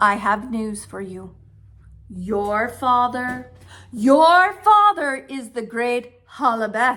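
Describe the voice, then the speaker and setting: Speaking in a put-on character voice, a female-sounding voice goes very slowly at a high pitch. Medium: read story. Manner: gentle, serious.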